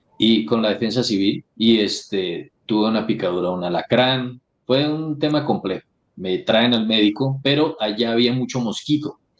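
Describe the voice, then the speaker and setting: A man with a strong Santander Colombian accent, medium pitch, ordinary pitch variation and a moderate pace. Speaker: influencer and political candidate. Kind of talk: interview.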